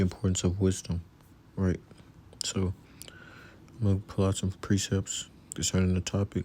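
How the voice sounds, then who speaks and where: Soft-spoken and somewhat breathy, a man with a very deep voice and a dark, mellow tone speaks in a flat monotone at a moderate pace, with very even loudness and long, frequent pauses. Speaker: religious teacher. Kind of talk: religious lesson. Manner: casual.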